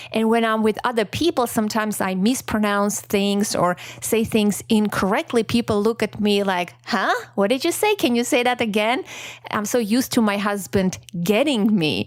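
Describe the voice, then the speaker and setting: A woman with a non-native accent speaks at a moderate pace in a fairly high pitch, her pitch varying in an ordinary way and her loudness staying very even. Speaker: podcast host. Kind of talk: solo podcast reflection. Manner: casual, chatty.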